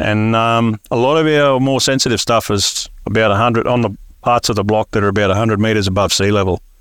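A man with an Australian accent at a medium pitch, fairly quick pace, hardly any pauses and fairly even intonation. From north Queensland, Australia. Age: 60s. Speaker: tropical fruit farmer. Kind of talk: interview. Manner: halting.

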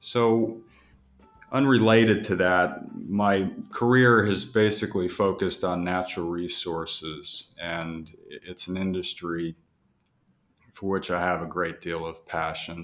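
Talking at a fairly slow pace, a man with a very deep, low pitch shows ordinary pitch variation. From Texas. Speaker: investment and capital markets adviser. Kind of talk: podcast interview.

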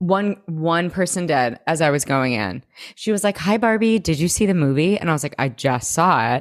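A woman with a fairly low pitch talks at a moderate pace in an animated tone with lively intonation. Her loudness stays very even, and the recording is very clean with a silent background. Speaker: podcast co-host. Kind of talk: casual chat.

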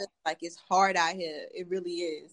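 This woman speaks at a moderate pace with lively intonation. She has a normal speaking voice. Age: 20s. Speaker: podcast host. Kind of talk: casual chat.

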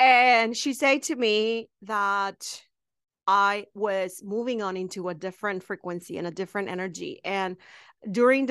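At a fairly slow pace, a woman in a Spanish accent speaks at a medium pitch with ordinary pitch variation against a quiet background. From Mexico, small town. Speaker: witch shop owner and spiritual teacher. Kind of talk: casual interview chat. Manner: hesitant with fillers.

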